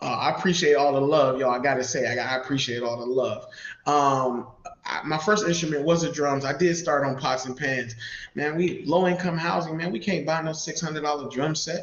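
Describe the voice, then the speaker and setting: Through audible room echo and noticeable background noise, a man speaks at a fairly quick pace with ordinary pitch variation. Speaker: community mentor and church musician. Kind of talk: live interview. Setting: live video stream.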